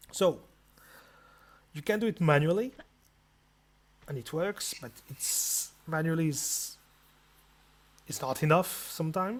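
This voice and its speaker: Long, frequent pauses at a fairly slow pace, with a non-native accent. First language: not English. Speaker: video game tutorial maker. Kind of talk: tutorial. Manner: casual, halting with repetitions.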